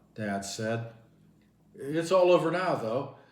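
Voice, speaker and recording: With noticeable background noise behind him, a man at a medium pitch talks at a fairly slow pace with lively intonation. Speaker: audiobook narrator. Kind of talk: novel reading.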